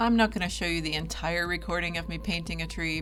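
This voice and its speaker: Over background music, a woman talks at a very fast pace. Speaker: DIY crafts vlogger. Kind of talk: tutorial narration; casual vlog talk to camera. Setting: home. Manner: casual, chatty with fillers. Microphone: new microphone, first use.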